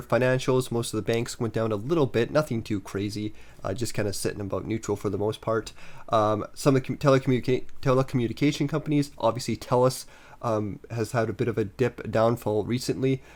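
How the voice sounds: A man speaks fast at medium pitch. His pitch varies in an ordinary way, and his tone is slightly mellow.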